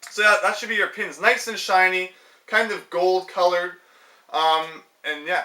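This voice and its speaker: The speaker is a man whose voice sits high in pitch. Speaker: gaming youtuber. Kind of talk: casual tutorial vlog. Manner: loud; hesitant, many fillers.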